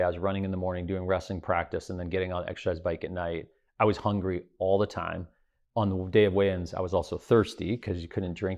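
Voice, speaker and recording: Intonation stays monotone and flat throughout. The accent is American. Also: man. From US Midwest. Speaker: private equity investor and business lecturer. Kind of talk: interview conversation. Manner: halting, many repetitions and fillers.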